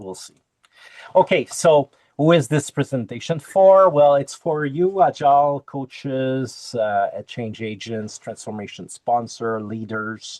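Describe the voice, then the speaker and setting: Very slow in pace yet lively in intonation, the speech comes in a Quebec accent with big swings in loudness and a dry, close sound with no echo. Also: man, fairly high pitch for a man. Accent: French Canadian accent in English. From Quebec, French Canada. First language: French. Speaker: Agile coach and Kanban trainer. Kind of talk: conference talk over video call. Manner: halting, many fillers.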